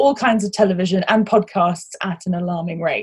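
A woman speaks at a fairly quick pace with a somewhat breathy voice. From international upbringing, British passport. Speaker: podcast host. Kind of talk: casual chat. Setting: recording inside a wardrobe at home.

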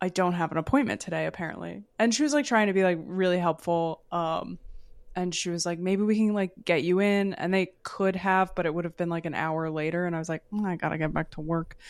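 Fairly quick speech with ordinary pitch variation over a quiet background. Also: woman, fairly low pitch for a woman. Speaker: comedian and podcast co-host. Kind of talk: casual chat.

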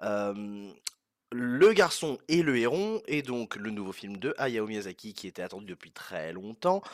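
Lively intonation at a very slow pace on a very clean recording with a silent background. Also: man, medium pitch for a man. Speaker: film review podcaster. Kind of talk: casual spoken review monologue. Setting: walking home outdoors after cinema. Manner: hesitant with many fillers.

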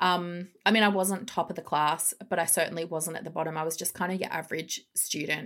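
This speaker has an Australian accent and a fairly quick pace. The intonation stays fairly even, with hardly any pauses. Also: woman, fairly low pitch for a woman. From Melbourne, western suburbs, Australia. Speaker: psychologist and coach. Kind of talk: casual interview.

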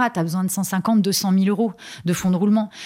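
A somewhat breathy woman's voice, monotone and flat in intonation, at a moderate pace, in a very clean recording over a silent background. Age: 30s. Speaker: hairdresser sharing her personal money story. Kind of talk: personal testimony in interview. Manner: halting, many hesitations and repetitions.

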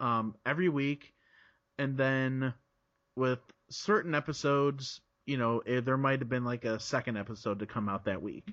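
A man with an American accent speaks in a normal speaking voice at a medium pitch. His pace is moderate and his pitch variation ordinary. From Chicago area, US Midwest. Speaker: podcaster. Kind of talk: casual interview chat.

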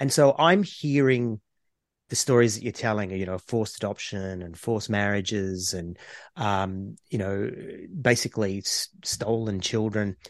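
Against a quiet background, a man with an Australian accent speaks at a moderate pace with ordinary pitch variation. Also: fairly low pitch for a man. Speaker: podcast co-host. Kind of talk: casual chat.

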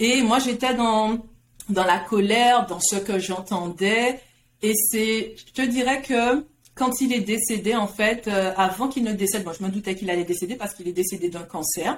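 A woman's fairly high voice, a normal speaking voice, with ordinary pitch variation at a moderate pace. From Guadeloupe. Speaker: career coach. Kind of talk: interview.

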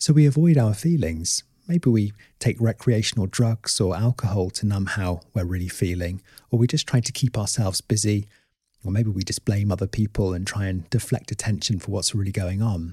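A man with a southern English accent speaks at a fairly quick pace, fairly low in pitch with a dark, mellow tone and somewhat breathy. The sound is dry and close with no echo, on a very clean recording with a silent background. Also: ordinary pitch variation. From Oxford, southern England. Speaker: therapist. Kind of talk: podcast monologue.

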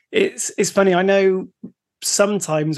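With an English accent, this person talks fairly quickly. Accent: English, less West Country than co-host. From West Country, England, near Bristol. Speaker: podcast co-host. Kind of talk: casual chat.

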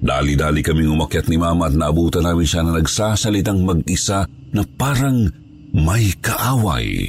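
Amid noticeable background noise, a man uses a dramatic tone with lively intonation, a very deep, low pitch and very even loudness. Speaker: storyteller reading listener-submitted ghost stories. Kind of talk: ghost story telling, spooky first-person narration. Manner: hushed, slow, suspenseful, dramatic; earnest, polite.

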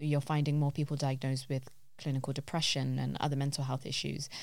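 A woman's very deep, low voice in a London accent, monotone and flat, on a very clean recording with a silent background. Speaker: podcast host. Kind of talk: casual chat. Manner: fast.

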